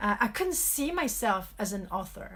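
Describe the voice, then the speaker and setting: A woman talks with a French accent. Her voice has vocal fry. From France (Paris). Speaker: author and life coach. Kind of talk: live video talk. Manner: hesitant, many fillers.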